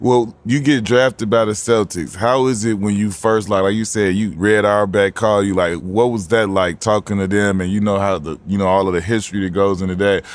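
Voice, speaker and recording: Speaking fairly quickly with hardly any pauses, a man with an American accent uses an ordinary speaking voice, fairly low in pitch and fairly even in intonation. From Chicago. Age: 40s. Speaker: podcast host, former NBA player. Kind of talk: casual interview. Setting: nightclub venue on location.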